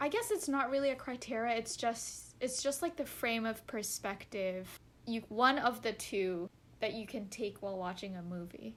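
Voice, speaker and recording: Using a plain, everyday voice, a woman speaks at a moderate pace and fairly high pitch with ordinary pitch variation. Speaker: podcast co-host. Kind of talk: podcast conversation.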